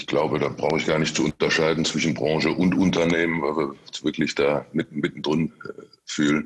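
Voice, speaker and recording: Delivery is fairly quick with monotone, flat intonation. Noticeable background noise is present. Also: man, very deep, low pitch for a man. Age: 50s. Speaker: construction company managing director. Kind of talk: interview. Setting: video call. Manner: halting, many repetitions and fillers.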